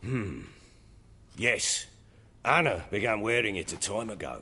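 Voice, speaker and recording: In a put-on character voice, a man talks at a moderate pace with a raspy, medium-pitched sound, ordinary pitch variation and audible echo. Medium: video game. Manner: coarse, blustering.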